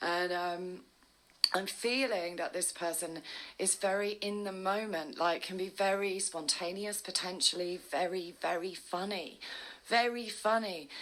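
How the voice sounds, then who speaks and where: At a fairly slow pace, an ordinary speaking voice delivers fairly even intonation. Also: woman, medium pitch for a woman. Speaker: tarot reader. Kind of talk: tarot reading monologue.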